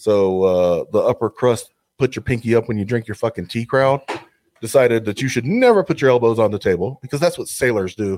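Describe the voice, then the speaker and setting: Speaking in a strong Southern US accent at a fairly quick pace, a man uses a medium pitch with ordinary variation, in a dry, close sound with no echo. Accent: thick Southern US. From US South. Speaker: podcast co-host. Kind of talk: casual chat.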